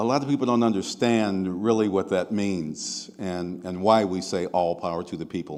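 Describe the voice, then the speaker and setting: A very deep, low-pitched man with an American accent, at a moderate pace and with lively intonation. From Seattle, US Pacific Northwest. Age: 70s. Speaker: activist and diversity consultant. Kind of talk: keynote speech.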